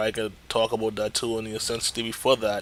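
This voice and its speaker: Speaking at a fairly quick pace, the man has a medium-pitched voice with a bright, sharp tone. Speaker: gaming youtuber. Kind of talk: tutorial. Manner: hesitant, many fillers.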